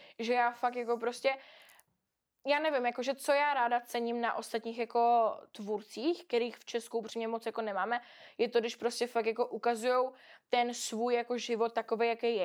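With a fairly high pitch and monotone, flat intonation, a woman speaks at a fairly quick pace in a very clean recording with a silent background. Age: 20s. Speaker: influencer. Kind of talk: casual chat.

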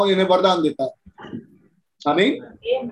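A man is speaking. His pitch is high. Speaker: church leader leading service. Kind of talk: church service, prayer and preaching. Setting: church. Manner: fervent, earnest.

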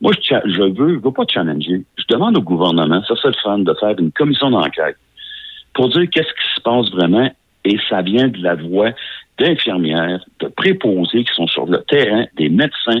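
A man speaks at a moderate pace in a fairly low pitch, his voice making very wide pitch swings. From Beauce, Quebec. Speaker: nurse. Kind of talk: radio interview.

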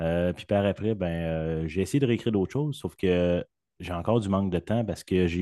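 Recorded dry and close with no echo over a quiet background, a man with a very deep, low pitch talks at a moderate pace with ordinary pitch variation. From Quebec. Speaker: podcast guest, sound designer. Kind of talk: casual chat.

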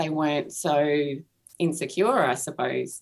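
The speaker has an Australian accent. Their intonation stays fairly even. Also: woman. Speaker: author and artist. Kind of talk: interview about recovery. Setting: video call.

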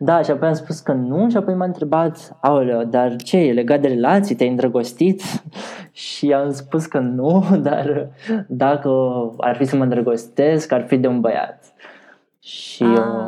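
A man with a dark, mellow tone and fairly high pitch, ordinary pitch variation, very even loudness and a fairly slow pace. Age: 20s. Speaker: LGBTQ activist. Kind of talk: interview.

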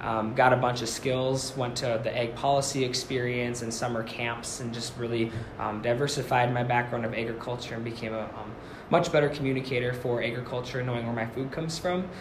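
A man's medium-pitched voice with fairly even intonation, amid noticeable background noise and audible room echo. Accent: American. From Minnesota, Forest Lake (Twin Cities suburb). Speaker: first-year agriculture teacher. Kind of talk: casual interview chat.

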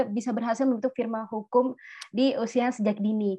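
A woman speaks at a moderate pace with a high pitch and a dark, mellow tone. Her intonation stays monotone and flat. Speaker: student organization talk show host. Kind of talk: interview.

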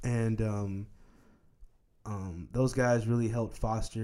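The voice belongs to a man. He speaks at a fairly low pitch. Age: 20s. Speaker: podcast host. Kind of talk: casual chat.

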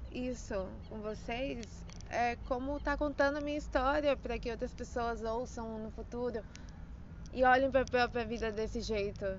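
Audible room echo surrounds a speaker who talks at a fairly slow pace with fairly even intonation. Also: woman. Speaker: personal audio diarist. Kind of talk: personal storytelling monologue. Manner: frequent laughter; halting.

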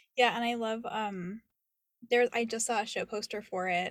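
Speaking at a fairly quick pace, a woman with a plain, everyday voice keeps a fairly high pitch and fairly even intonation. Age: 20s. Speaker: podcast host, actor and creative coach. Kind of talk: casual interview.

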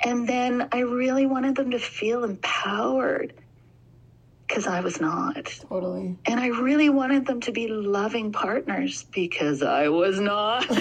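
A woman with a Canadian accent speaks at a fairly slow pace in a fairly high pitch. Noticeable background noise can be heard. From Alberta, Canada. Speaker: sleep training consultant. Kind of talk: casual interview.

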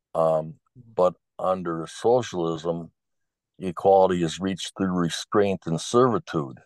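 Against a quiet background, a man with a very deep, low voice and ordinary pitch variation sounds dry and close, with no echo. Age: 70s. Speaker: lawyer and factory welder, host's father. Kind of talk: casual father-son interview. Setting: video call.

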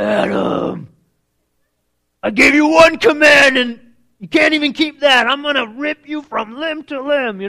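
An extremely high-pitched, put-on character voice from a man, at a moderate pace with long, frequent pauses. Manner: menacing, threatening.

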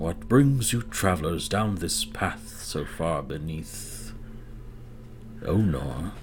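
A man's put-on character voice, very deep and low in pitch, at a very slow pace over clear background noise. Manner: pleasant, unexpected.

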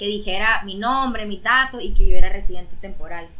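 A woman speaks with ordinary pitch variation at a fairly quick pace while noticeable background noise runs behind her. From Nicaragua. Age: 20s. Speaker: university student. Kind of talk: casual chat.

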